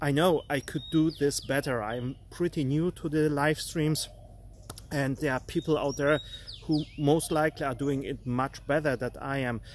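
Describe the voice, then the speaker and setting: A man with a non-native accent and a fairly high pitch, fairly even intonation, moderate pace. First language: not English. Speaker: art coach. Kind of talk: live stream motivational talk. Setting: live stream. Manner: halting, many fillers.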